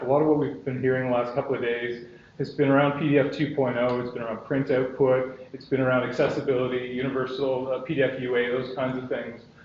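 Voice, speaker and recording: Noticeable background noise and audible room echo surround a man speaking. His pitch is medium and his pace fairly quick. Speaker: software company executive. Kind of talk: conference presentation. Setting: stage with audience. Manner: fast.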